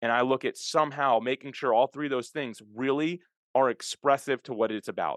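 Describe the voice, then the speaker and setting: Over a quiet background, a man talks at a fairly quick pace with fairly even intonation, the sound dry and close with no echo. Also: medium pitch for a man. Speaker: podcast host and software founder. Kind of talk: interview. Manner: fast.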